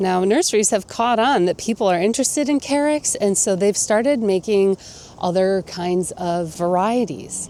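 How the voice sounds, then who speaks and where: A woman with an enthusiastic tone and very even loudness, over noticeable background noise. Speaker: gardening youtuber. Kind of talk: garden tour. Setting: outdoors. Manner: rising question-like intonation; casual, enthusiastic.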